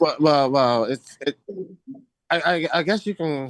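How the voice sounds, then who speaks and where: A man talks with an American accent and lively intonation. The sound is dry and close, with no echo. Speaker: English teacher for Buddhist students. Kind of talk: English vocabulary lesson. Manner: casual, hesitant, repeats words.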